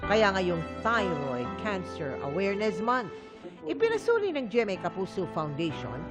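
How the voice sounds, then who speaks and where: A woman speaks at a moderate pace. Music can be heard behind her. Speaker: news feature narrator. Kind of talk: TV news feature narration.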